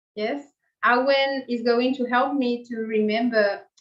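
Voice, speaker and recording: In an Argentine accent, a woman speaks at a fairly high pitch with fairly even intonation. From Argentina. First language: Spanish. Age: 40s. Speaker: meditation teacher. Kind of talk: spiritual talk to a group. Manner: halting.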